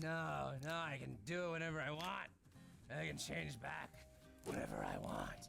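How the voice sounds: With clear music in the background, a man does a put-on character voice at a moderate pace with long, frequent pauses.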